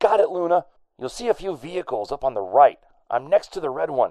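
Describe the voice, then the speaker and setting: Putting on a character voice, a man speaks fairly quickly at a fairly high pitch, swinging very widely up and down. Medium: read story.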